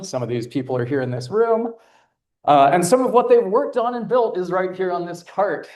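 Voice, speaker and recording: A man talks loudly in a high voice. His pitch swings very widely. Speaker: astronomer presenting an instrument. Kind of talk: conference talk.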